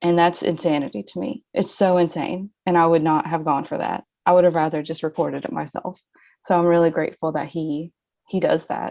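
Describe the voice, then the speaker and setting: A woman speaks with a Southern accent at a fairly low pitch. Her pace is fairly quick, with ordinary pitch variation. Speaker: novelist. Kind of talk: casual chat.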